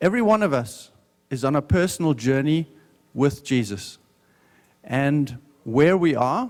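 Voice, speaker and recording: In a South African accent, a man speaks with lively intonation at a fairly high pitch. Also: very clean recording, silent background. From South Africa, Johannesburg. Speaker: business owner giving a talk. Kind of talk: testimony talk at a conference. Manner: slow, deliberate.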